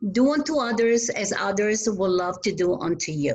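A woman speaks in a somewhat breathy voice at a fairly slow pace. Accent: Italian. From Italy. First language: Italian. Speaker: community volunteer. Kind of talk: interview. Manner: halting.

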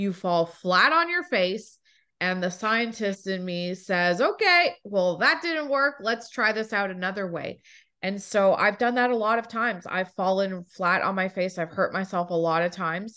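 Speaking at a moderate pace, a woman has a normal speaking voice, medium pitch and ordinary pitch variation. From Toronto, Canada. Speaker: executive coach and author. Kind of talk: casual interview chat.

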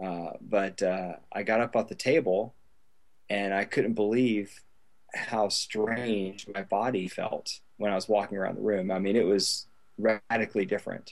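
A man with a normal speaking voice talks at a fairly slow pace, his fairly low pitch held in fairly even intonation. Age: 40s. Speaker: email marketing business owner, former Air Force pilot. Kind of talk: interview.

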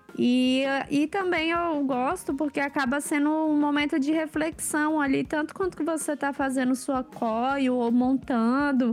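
A woman with a high voice speaks at a fairly slow pace with hardly any pauses, keeping her intonation fairly even and her loudness very even. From Brazil, Brasília. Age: 20s. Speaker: actress and entrepreneur. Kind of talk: casual chat.

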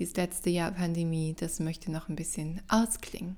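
At a moderate pace, a woman speaks in a fairly low pitch. Her intonation stays fairly even. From Germany, Mönchengladbach (Lower Rhine). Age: 30s. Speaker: podcast host and coach. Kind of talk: casual solo monologue. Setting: at home.

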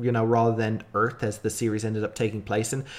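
A man is speaking. He has an Irish accent. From Ireland. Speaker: podcast host. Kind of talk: casual chat.

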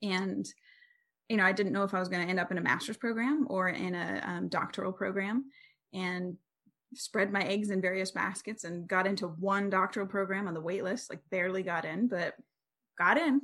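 A woman speaking fairly quickly has an unremarkable speaking voice, pitched at a medium level and varying in an ordinary way. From US, military family that moved often. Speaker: psychology professor. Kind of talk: interview.

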